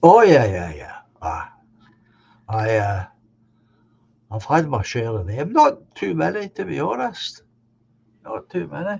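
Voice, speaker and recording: A man with a Scottish accent at a fairly slow pace, with big swings in loudness and long, frequent pauses. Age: 70s. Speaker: live stream host. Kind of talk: casual chat. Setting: live stream.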